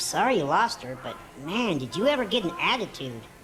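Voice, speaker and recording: A put-on, female-sounding character voice at a middle pitch, with very wide pitch swings and a fairly quick pace, over clear background noise. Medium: video game. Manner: eager, fast, gushing.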